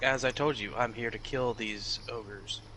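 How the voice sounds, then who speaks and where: A man's put-on character voice, medium in pitch and moderate in pace, with clear background noise. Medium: actual play. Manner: terse, matter-of-fact.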